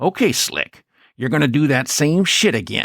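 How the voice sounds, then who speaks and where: A man's put-on character voice with lively intonation, in a very clean recording with a silent background. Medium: read story. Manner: low, easy, unbothered.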